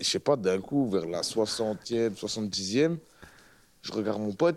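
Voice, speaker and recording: An ordinary speaking voice from a man, fairly low in pitch, with lively intonation. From northern France, Roubaix. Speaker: rapper. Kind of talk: casual interview chat.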